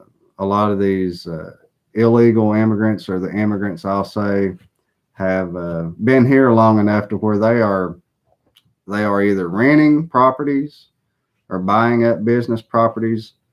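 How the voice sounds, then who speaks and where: A man speaks in a Southern US accent at a fairly slow pace. His pitch is fairly low with ordinary pitch variation. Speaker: political commentator. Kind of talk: live stream monologue. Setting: live broadcast.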